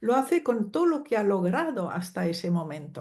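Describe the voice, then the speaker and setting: A woman's medium-pitched, somewhat breathy voice with a dark, mellow tone, at a very slow pace. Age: 70s. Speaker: psychologist and family constellations teacher. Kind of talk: interview.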